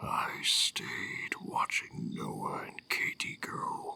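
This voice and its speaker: A raspy, menacing put-on character voice from a man, at a very slow pace. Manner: slow, menacing.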